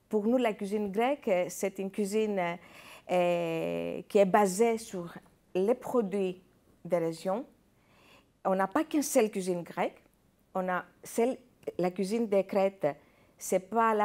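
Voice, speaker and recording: A woman of medium pitch speaks at a moderate pace with ordinary pitch variation and long, frequent pauses. The recording is very clean, with a silent background. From Greece. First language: Greek (speaking French). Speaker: chef and restaurant owner. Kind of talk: TV interview. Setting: TV studio. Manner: halting, many hesitations.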